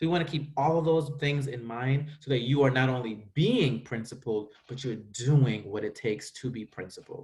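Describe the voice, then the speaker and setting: A man's fairly high, somewhat breathy voice moves at a moderate pace, with ordinary pitch variation. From US Virgin Islands. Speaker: school administrator. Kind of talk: virtual school presentation. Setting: video call.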